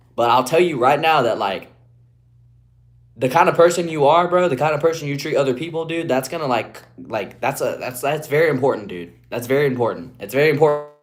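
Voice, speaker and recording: The speaker has an Appalachian accent. The pace is fairly quick, and the pitch varies in an ordinary way. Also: man, fairly high pitch for a man. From West Virginia, Appalachia. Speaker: streamer. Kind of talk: live stream chat.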